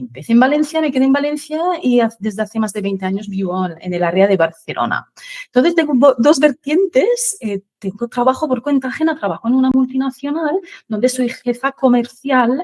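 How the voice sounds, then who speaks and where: A woman's high-pitched voice at a fairly quick pace, with lively intonation and a dry, close sound with no echo. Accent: French. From France. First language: French (speaking Spanish). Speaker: finance expert, sales manager. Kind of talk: interview podcast.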